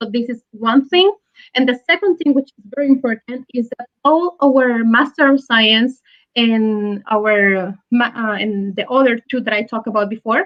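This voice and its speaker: A woman with a fairly high pitch and ordinary pitch variation speaks at a moderate pace. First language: French. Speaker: business school representative. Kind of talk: webinar interview. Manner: halting, many fillers.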